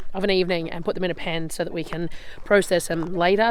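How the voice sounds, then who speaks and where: Noticeable background noise around a woman with an Australian accent, fairly low pitch, fairly even intonation and a fairly quick pace. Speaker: off-grid homesteader. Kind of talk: casual walking tour to camera. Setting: outdoors.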